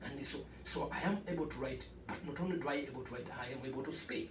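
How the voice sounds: A man talks at a fast pace with a medium pitch and ordinary pitch variation. Audible room echo surrounds his speech.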